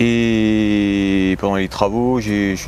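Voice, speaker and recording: The words come very slowly. The pitch contour is fairly even. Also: man. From France, Haute-Marne. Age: 30s. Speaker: home renovator, medical student. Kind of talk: interview. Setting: at home.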